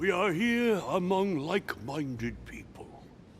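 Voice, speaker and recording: A man puts on a raspy character voice, high-pitched and swinging very widely in pitch. He speaks at a fairly slow pace over clear background noise. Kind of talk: formal public address. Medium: video game. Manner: genial, diplomatic.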